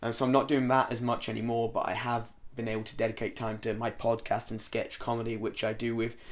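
A man speaks at a moderate pace in a monotone, flat intonation, with music playing in the background. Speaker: trainee pro wrestler. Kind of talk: casual interview.

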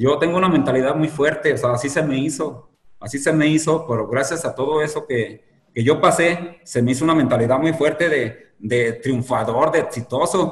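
This man's fairly high, somewhat breathy voice moves at a moderate pace with ordinary pitch variation. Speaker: marathon runner, former addict. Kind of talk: interview, personal testimony. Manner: hesitant, many fillers.

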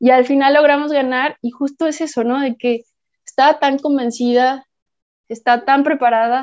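A woman speaks at a high pitch and a moderate pace, with fairly even intonation. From Mexico, Puerto Vallarta. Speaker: multi-sport athlete. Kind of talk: casual interview.

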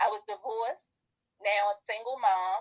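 A woman speaks at a fairly slow pace in a medium pitch. Her intonation stays fairly even. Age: 40s. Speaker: transformational coach and author. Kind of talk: interview.

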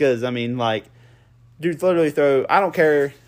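With ordinary pitch variation, a man talks at a moderate pace in a fairly high pitch. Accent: Appalachian. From Southern Ohio, Appalachia. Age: 20s. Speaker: podcast host, hunter and plant operator. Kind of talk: casual chat.

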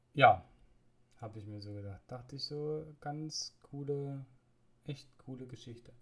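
Speaking at a fairly slow pace with long, frequent pauses, a man's fairly high, somewhat breathy voice shows ordinary pitch variation and big swings in loudness. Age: 30s. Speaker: podcaster living with multiple sclerosis. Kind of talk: personal monologue podcast. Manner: hesitant, many filler sounds.

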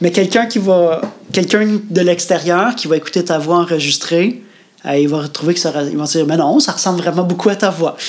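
A man talks at a fairly quick pace with a Quebec accent and a high pitch. Noticeable background noise sits behind him. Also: ordinary pitch variation. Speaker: podcast co-host, workshop leader. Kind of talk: casual chat.

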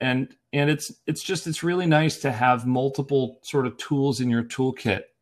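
On a very clean recording with a silent background, a man with an American accent speaks at a moderate pace and a fairly high pitch with ordinary pitch variation. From US, Erie, Pennsylvania. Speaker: ENT surgeon. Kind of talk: interview. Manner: halting, many fillers and repeats.

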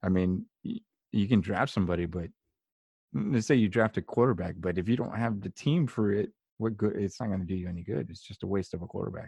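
A man's very fast, fairly low voice, dark and mellow in tone, with ordinary pitch variation and a dry, close sound free of echo. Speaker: podcast host. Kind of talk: casual conversation. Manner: faith-focused, sincere.

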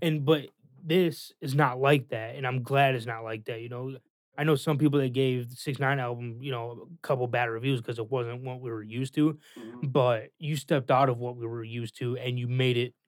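In a plain, everyday voice, a man talks at a fairly quick pace with a medium pitch and fairly even intonation. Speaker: guest, friend giving album feedback. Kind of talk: casual chat. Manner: casual, laid-back.

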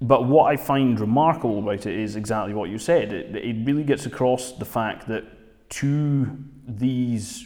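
A man speaks with a Dundee accent. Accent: Scottish (Dundee). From Scotland, Dundee. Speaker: magazine editor and podcast host. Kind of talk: casual film review discussion.

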